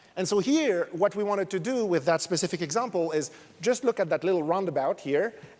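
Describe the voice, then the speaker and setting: With a French accent, a man talks at a fairly quick pace in a high pitch, his pitch varying in an ordinary way. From France. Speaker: academic researcher, conference speaker. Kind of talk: conference talk. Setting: stage with audience.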